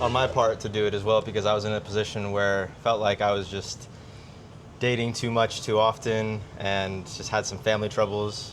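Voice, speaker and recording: An ordinary speaking voice from a man, fairly low in pitch, with an American accent and a moderate pace. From United States. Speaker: business coach, podcast co-host. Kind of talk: casual chat.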